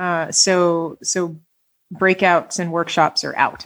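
This is a woman speaking. Her voice is fairly low-pitched. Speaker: tech executive and speaking coach. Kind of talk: podcast interview. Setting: video call. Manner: halting, repeats words and fillers.

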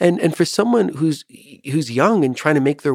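With an unremarkable speaking voice, a man talks at a fairly quick pace with lively intonation. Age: 50s. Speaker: psychiatrist. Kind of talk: casual chat.

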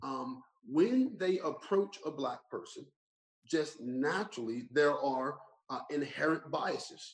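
A man with an American accent, a fairly high pitch, very wide pitch swings and a very slow pace. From US Northeast (Burlington Township, New Jersey). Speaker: pastor and lawyer. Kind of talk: interview conversation. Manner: animated storytelling.

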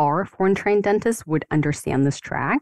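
A woman speaks with ordinary pitch variation. The sound is dry and close, with no echo. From Ukraine. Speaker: dentist and life coach. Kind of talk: interview.

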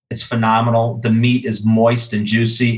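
Somewhat breathy, a man talks at a moderate pace and a medium pitch. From US Midwest, Chicago. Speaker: grilling expert and e-commerce director. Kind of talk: casual interview.

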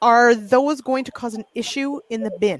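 She has a plain, everyday voice, fairly high in pitch, with a Canadian accent and a fairly slow pace. The sound is dry and close with no echo, on a very clean recording with a silent background. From western Canada. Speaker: agriculture show host. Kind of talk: casual chat.

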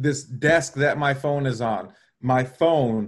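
Medium pitch, a fairly slow pace and fairly even intonation from a man with an unremarkable speaking voice. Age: 30s. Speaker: Instagram marketing guest. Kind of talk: casual chat. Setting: live stream.

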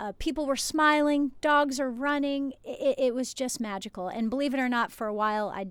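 A woman with an American accent has a plain, everyday voice, moving at a moderate pace with ordinary pitch variation. The recording is very clean, with a silent background. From New Jersey. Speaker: chiropractor and podcast host. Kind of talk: solo podcast monologue. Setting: outdoors at the beach in a motorhome, waves audible.

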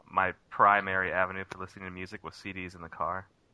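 A man speaks in a plain, everyday voice, pitched fairly low and moving at a fairly quick pace. The background is quiet. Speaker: call-in guest. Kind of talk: casual chat. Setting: phone call.

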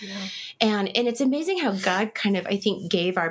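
Using an ordinary speaking voice, a woman with an American accent talks at medium pitch and a moderate pace. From Kansas. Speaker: guest sharing loss story. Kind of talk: interview.

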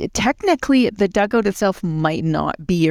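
A woman with a Canadian prairie accent speaks at a fairly quick pace with lively intonation, in a dry, close sound with no echo. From rural central Alberta, Canada. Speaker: executive director of a conservation charity. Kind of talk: interview.

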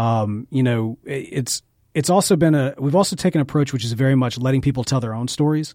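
A man with an American accent, at a medium pitch with a dark, mellow tone, ordinary pitch variation and a very fast pace, in a very clean recording with a silent background. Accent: slight Southern US, largely suppressed. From Jackson, Mississippi. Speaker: podcast studio owner. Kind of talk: casual interview chat.

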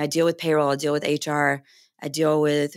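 In a very clean recording with a silent background, a woman speaks in a very deep, low voice with an American accent. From North Carolina. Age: 30s. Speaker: financial advisor and firm co-owner. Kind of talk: interview.

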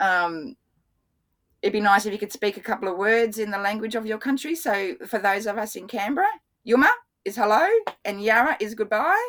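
A woman with an Australian accent talks at a fairly quick pace in a fairly high pitch, with ordinary pitch variation and long, frequent pauses. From Australia, Brisbane. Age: 50s. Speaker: water scientist. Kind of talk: interview. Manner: animated.

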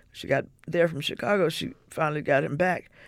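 In a very clean recording with a silent background, a woman with an American accent speaks at a moderate pace in a fairly low voice marked by vocal fry. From US South, Mississippi. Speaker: civil rights activist and sociologist. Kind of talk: interview, personal recollection. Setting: radio studio.

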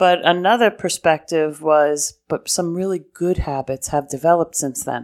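In an American accent, a woman with a fairly low pitch and a normal speaking voice talks at a moderate pace with ordinary pitch variation and hardly any pauses, in a dry, close sound with no echo. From New York City (Brooklyn/Queens). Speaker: diocesan development director. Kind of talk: interview. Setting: in-person lunch meeting.

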